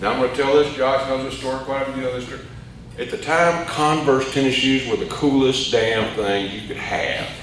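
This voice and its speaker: Speaking in an Arkansas accent, a man uses a medium pitch, ordinary pitch variation and a moderate pace. Noticeable background noise and audible room echo are present. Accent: Southern US (Arkansas). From US South. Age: 60s. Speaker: AA speaker. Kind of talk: recovery testimony. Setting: meeting hall with audience. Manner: casual, halting with fillers.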